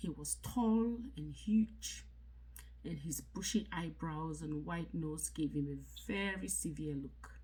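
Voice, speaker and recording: Very slow speech from a woman, in a room with audible echo. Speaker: book reader, content creator. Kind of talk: reading aloud.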